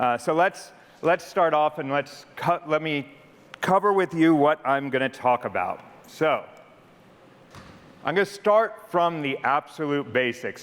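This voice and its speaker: With an American accent, the speaker moves at a moderate pace using lively intonation. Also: man. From United States. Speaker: corporate product leader. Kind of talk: conference presentation. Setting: stage with audience. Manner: casual, conversational.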